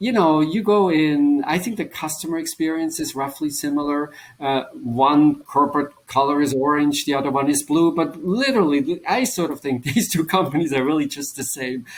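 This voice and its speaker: At a moderate pace and with hardly any pauses, the speaker talks in a Swiss German accent. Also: man, fairly high pitch for a man, ordinary pitch variation. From German-speaking Switzerland. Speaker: business professor and author. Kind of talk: interview.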